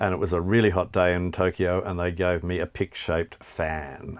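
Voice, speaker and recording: A man with an Australian accent speaks in a very deep, low pitch with monotone, flat intonation on a very clean recording with a silent background. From Tasmania, Australia. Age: 60s. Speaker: music journalist and author. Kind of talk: interview, quickfire questions. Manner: hesitant, many fillers.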